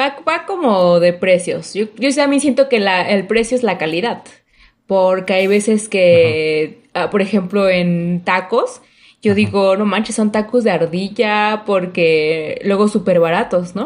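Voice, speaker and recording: Against a quiet background, a woman with a plain, everyday voice speaks at a medium pitch and a fairly slow pace. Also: ordinary pitch variation. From Mexico City. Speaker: podcast guest. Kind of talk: casual educational chat.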